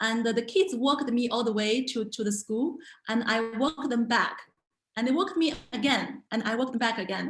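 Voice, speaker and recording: A woman's high-pitched voice with a Chinese accent at a moderate pace. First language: Mandarin Chinese. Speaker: language teacher and entrepreneur. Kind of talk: online talk. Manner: halting, many fillers and repetitions.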